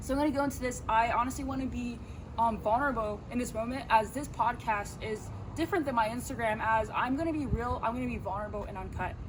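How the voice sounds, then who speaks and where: A woman talks very fast in a fairly high voice with ordinary pitch variation. Audible room echo surrounds her speech. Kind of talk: casual faith talk. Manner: unscripted, hesitant.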